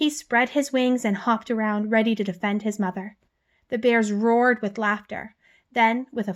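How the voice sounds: This is a natural reading voice with fairly even intonation. Behind it, the background is quiet.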